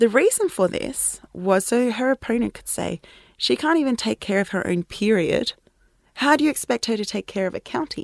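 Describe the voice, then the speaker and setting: Speaking at a moderate pace, a woman with a fairly high pitch uses lively intonation and some vocal fry, in a dry, close sound with no echo on a very clean recording with a silent background. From South Africa. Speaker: PhD researcher. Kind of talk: interview. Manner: halting.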